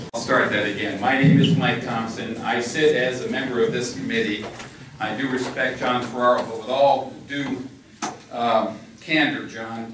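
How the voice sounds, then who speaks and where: A man talks at a moderate pace and medium pitch, his intonation fairly even. Audible room echo and noticeable background noise fill the recording. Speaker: committee member and attorney. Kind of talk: public meeting debate. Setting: public meeting with microphone. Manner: loud.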